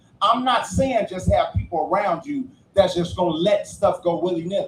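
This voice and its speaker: Amid noticeable background noise, a man talks at a moderate pace in an animated tone. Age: 50s. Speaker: podcast panelist. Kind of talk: heated debate. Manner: loud.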